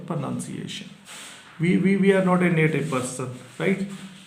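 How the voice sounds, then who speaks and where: Audible room echo surrounds a speaker with a Punjabi accent. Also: man. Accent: Indian (Punjabi) English. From Punjab, India. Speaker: English exam teacher. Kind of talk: tutorial. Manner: halting, with filler pauses.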